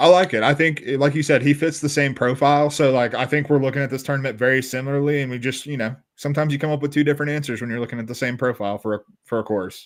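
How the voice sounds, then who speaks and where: Speaking at a very fast pace in a Southern US accent, a man with a fairly high pitch keeps his intonation fairly even. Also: hardly any pauses. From US South. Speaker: golf betting podcast co-host. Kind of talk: casual sports betting discussion.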